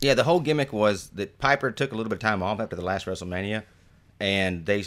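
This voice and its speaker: Speaking with an American accent, a man has an ordinary speaking voice at a fairly low pitch. His intonation is lively, and the recording is very clean with a silent background. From Detroit, Michigan. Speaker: podcast host, improviser. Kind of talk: casual chat.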